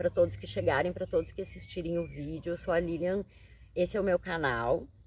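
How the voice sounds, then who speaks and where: A fairly low-pitched woman's voice with vocal fry and ordinary pitch variation. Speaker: tarot reader and psychologist. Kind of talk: tarot reading monologue.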